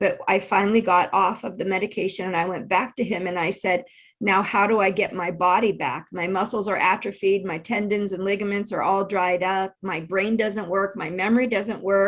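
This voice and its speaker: At a moderate pace with hardly any pauses, a woman talks at a medium pitch with fairly even intonation. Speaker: intuitive and keynote speaker. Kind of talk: interview. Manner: halting, loses place mid-sentence.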